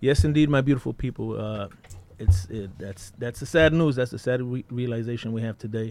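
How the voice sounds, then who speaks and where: A man's voice, a normal speaking voice. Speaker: radio co-host. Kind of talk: casual radio chat.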